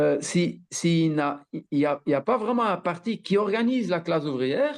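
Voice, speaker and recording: Speaking at a moderate pace and a high pitch, a man keeps very even loudness while his intonation stays lively. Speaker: political activist. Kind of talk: conference talk. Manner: halting, many repetitions.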